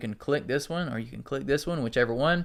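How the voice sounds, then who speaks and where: In a quiet setting, a man with a slight Southern US accent speaks with lively intonation and a bright, sharp tone. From US South. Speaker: marketing tutorial YouTuber. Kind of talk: tutorial. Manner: casual, conversational.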